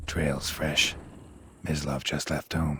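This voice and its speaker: Putting on a character voice, a man speaks with a very deep, low pitch. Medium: video game. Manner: terse, deadpan.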